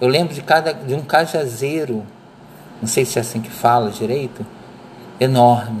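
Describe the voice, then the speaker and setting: A man at medium pitch and moderate pace, with ordinary pitch variation, long, frequent pauses and noticeable background noise. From Rio de Janeiro suburbs, Brazil. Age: 50s. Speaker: student. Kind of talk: personal memoir presentation. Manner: unscripted, hesitant.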